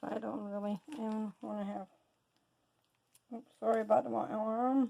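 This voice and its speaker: Mumbling at a moderate pace, with big swings in loudness. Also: woman. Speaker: soap maker. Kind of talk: casual tutorial talk to camera. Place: workshop. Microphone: camera far.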